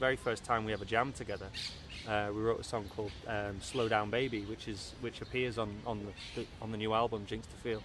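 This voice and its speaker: A man with a Liverpool accent, fairly low in pitch and monotone, flat in intonation, at a fairly quick pace, in a dry sound with no echo and noticeable background noise. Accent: Liverpool (Scouse) English. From Merseyside, northern England (Southport/Liverpool). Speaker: musician. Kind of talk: interview. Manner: halting, many repetitions and fillers. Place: home room.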